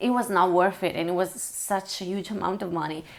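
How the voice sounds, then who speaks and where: The voice is monotone and flat in intonation, with an Italian accent. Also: woman. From Italy. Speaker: language learning vlogger. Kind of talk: casual vlog talk. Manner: hesitant, many fillers.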